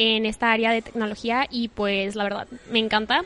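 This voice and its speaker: A woman talks at a moderate pace with a fairly high pitch and fairly even intonation. It is an unremarkable speaking voice. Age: 20s. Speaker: poetry content creator. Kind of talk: casual chat. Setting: coffee shop.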